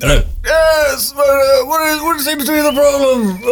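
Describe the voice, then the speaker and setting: Putting on a character voice, a man speaks at an extremely high pitch. His pace is very slow. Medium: actual play. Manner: gentle, rambling.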